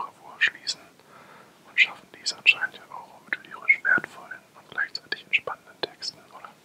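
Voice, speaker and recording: A man whispering over noticeable background noise. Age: 20s. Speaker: ASMR artist. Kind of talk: ASMR whisper introduction to camera. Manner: whispered, soft-spoken.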